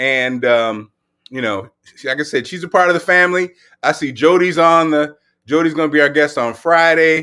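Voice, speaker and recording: Loud and animated, a man with a high pitch and a bright, sharp tone speaks at a moderate pace on a very clean recording with a silent background. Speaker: livestream fitness host. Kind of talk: casual livestream chat.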